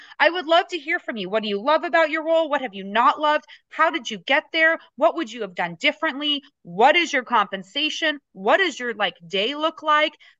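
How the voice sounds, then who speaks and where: Bright and sharp, a woman's high, raised voice with an American accent projects at a fairly quick pace with very wide pitch swings, the sound dry and close with no echo. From US West, Las Vegas, Nevada. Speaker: business coach and speaker. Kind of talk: casual interview.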